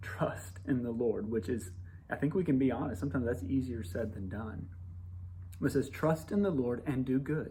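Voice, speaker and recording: A man with a dark, mellow tone and a somewhat breathy voice speaks with lively intonation, with audible room echo. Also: medium pitch for a man. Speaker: pastor. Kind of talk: devotional message to congregation. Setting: church building under renovation. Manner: fast.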